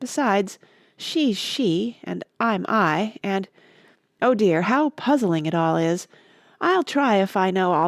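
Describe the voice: Against a quiet background, plain reading aloud carries lively intonation.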